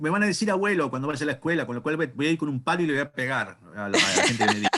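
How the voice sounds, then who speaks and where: Over noticeable background noise, a man with a Rioplatense accent talks at a very fast pace, fairly high in pitch, with lively intonation. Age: 50s. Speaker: philosopher. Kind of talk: panel discussion. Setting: video call.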